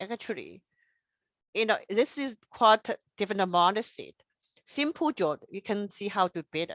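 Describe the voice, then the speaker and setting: A woman's fairly high voice in a strong non-native accent, with lively intonation, a moderate pace, long and frequent pauses, and a dry, close sound free of echo. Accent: strong foreign. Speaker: engineer and presenter. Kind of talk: presentation. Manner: halting, non-native phrasing.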